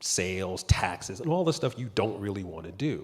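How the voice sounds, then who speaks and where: At a fairly quick pace, a man speaks in a plain, everyday voice with lively intonation. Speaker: entertainment lawyer on panel. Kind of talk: panel discussion. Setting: stage with audience.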